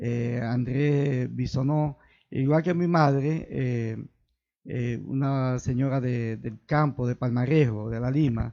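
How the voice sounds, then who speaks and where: Very slowly, a man speaks at medium pitch with fairly even intonation. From Dominican Republic, Santiago Rodríguez province. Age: 60s. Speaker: local politician. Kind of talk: interview. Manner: halting.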